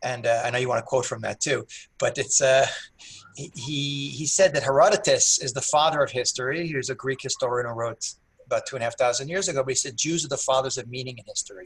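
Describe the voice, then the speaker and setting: A man speaks at a very fast pace in a medium-pitched, somewhat breathy voice. His pitch varies in an ordinary way. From United States. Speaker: historian and rabbi. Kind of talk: interview answer. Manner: quick-paced, humorous.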